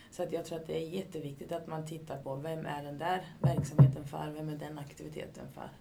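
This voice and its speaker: A woman's very deep, low voice in a flat monotone, fairly quick with hardly any pauses and big swings in loudness, amid noticeable background noise and audible room echo. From Sweden, Katrineholm. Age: 40s. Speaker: youth activity coordinator. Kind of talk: interview.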